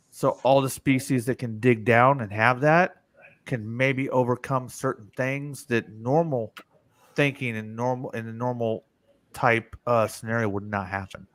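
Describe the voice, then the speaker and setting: A man with an American accent speaks in an ordinary speaking voice at a fairly slow pace. His pitch is medium, and his intonation stays fairly even. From US, mixed (north, south, west). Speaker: live-stream show host. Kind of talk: casual chat. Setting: live stream.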